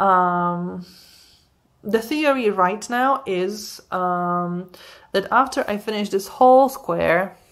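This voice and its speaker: A woman with a non-native accent speaks at medium pitch with ordinary pitch variation in a very clean recording with a silent background. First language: not English. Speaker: craft vlogger. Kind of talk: casual vlog chat. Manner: hesitant, many fillers.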